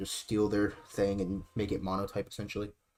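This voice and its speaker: A man speaks quietly, his pitch fairly low. He talks at a very fast pace. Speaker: livestreamer running an online game league. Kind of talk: casual livestream talk. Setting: dorm room livestream. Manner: quiet, keeping voice down.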